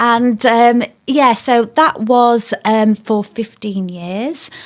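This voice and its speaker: Delivered with fairly even intonation, this voice carries a Yorkshire accent. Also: woman. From South Yorkshire, England. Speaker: former police officer, business owner. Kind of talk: podcast interview.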